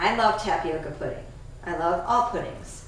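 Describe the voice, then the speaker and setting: A woman at a fairly slow pace with ordinary pitch variation, amid light background noise and audible room echo. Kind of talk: tutorial. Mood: upbeat and enthusiastic. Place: kitchen. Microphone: camera far.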